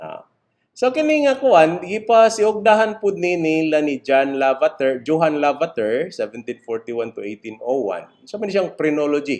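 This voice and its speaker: His pitch fairly high, a man speaks with lively intonation. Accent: Visayan Filipino. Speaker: criminology lecturer. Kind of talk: lecture. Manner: halting, many fillers.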